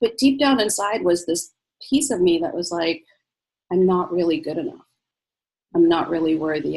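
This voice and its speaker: Her voice is a plain, everyday voice, a woman's at medium pitch with lively intonation. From US, born in Egypt. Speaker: physician. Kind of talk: interview.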